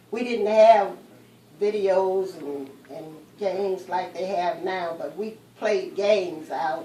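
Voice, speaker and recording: A fairly slow voice in an American accent, with noticeable background noise. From US Midwest. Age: 80s+. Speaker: interviewee. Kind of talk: oral history interview. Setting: at home.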